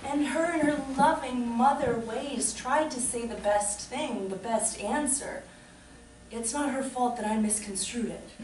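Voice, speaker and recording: A woman speaks at a high pitch and a fairly slow pace. Light background noise and audible room echo surround her voice. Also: ordinary pitch variation. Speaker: solo storyteller. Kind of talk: comic monologue performance. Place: stage. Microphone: camera far.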